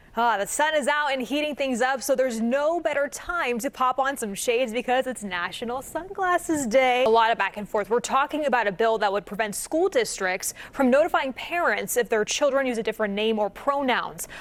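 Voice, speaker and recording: A woman's high-pitched voice with lively intonation and hardly any pauses, over noticeable background noise. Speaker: TV news anchor. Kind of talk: TV news anchoring.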